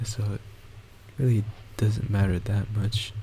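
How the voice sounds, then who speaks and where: A man's fairly low, monotone delivery with flat intonation comes through noticeable background noise. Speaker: gaming YouTuber. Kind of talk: gameplay commentary. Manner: halting.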